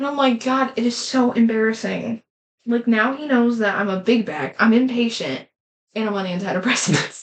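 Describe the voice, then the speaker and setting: A woman speaks at a fairly high pitch. Her pace is moderate and her pitch variation ordinary. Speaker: podcast co-host. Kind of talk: casual chat. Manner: loud; animated.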